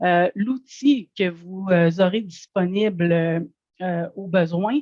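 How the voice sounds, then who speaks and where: A woman's voice, fairly low in pitch. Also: dry, close sound with no echo. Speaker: food safety certification advisor. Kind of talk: webinar presentation. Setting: online webinar.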